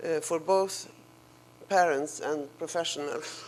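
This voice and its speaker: A woman speaks very slowly with a non-native accent. Her fairly low voice keeps a fairly even intonation. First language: Swedish. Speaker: professor. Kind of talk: lecture. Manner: halting.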